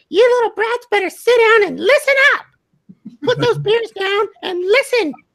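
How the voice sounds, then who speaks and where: This man's put-on character voice reaches an extremely high pitch while moving at a moderate pace. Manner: scolding, bossy.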